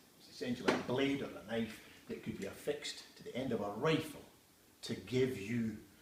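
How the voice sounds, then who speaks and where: A man talks at a fairly quick pace in a medium pitch with ordinary pitch variation. His loudness swings widely, and there is noticeable background noise. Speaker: TV antiques expert and auctioneer. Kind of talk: casual talk to camera. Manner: chatty, enthusiastic, storytelling.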